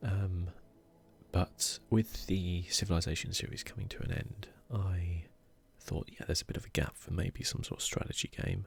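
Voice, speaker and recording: A man whispers at a moderate pace in a calm, relaxed tone. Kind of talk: soft-spoken ASMR gaming commentary. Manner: soft-spoken.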